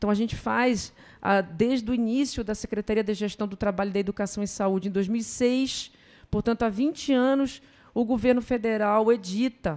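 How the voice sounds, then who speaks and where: Speaking at a moderate pace, a woman with a northern Brazilian accent has a fairly high pitch. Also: ordinary pitch variation. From northern Brazil, Belém do Pará. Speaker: professor, public health. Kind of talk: conference talk. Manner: seated.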